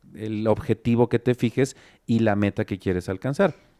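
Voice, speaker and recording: Over a quiet background, a man speaks at a moderate pace with a dark, mellow tone, fairly low pitch and ordinary pitch variation. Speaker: company director; interview guest. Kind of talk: talk show interview. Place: studio. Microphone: handheld.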